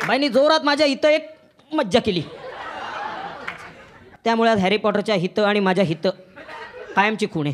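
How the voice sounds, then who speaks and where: Noticeable background noise beneath very wide swings in pitch. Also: man, high pitch for a man. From Pune. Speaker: stand-up comedian. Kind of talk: live stand-up comedy set. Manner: sarcastic, witty.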